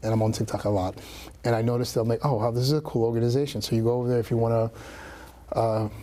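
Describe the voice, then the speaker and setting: A man with a New York accent talks very fast at a medium pitch, in a monotone, flat delivery. He leaves long, frequent pauses. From New York City, Brooklyn. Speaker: real estate agent. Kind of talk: casual interview. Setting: studio.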